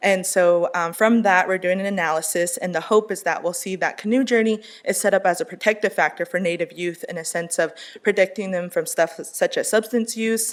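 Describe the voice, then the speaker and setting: A woman with an American accent, medium pitch, fairly even intonation and a fairly quick pace. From US Southwest, Navajo. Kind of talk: conference panel presentation. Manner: fast.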